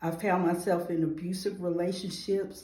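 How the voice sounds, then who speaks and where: In a Georgia accent, a woman speaks at a fairly low pitch and a fairly slow pace. Room echo is audible. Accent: Southern American (Georgia). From US South, Atlanta, Georgia. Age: 40s. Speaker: nonprofit founder, award nominee. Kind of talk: testimony interview.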